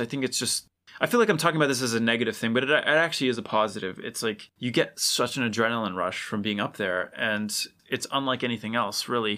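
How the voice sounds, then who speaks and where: With a bright, sharp tone and ordinary pitch variation, a man talks at a very fast pace. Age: 30s. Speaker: record producer. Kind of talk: casual chat. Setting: video call.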